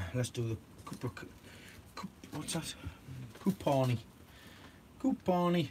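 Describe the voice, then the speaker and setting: Very slowly and with long, frequent pauses, a man speaks in a fairly high pitch. His voice is somewhat breathy, with very wide pitch swings. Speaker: allotment gardener vlogger. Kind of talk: casual live-stream chat with viewers. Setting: indoors at home.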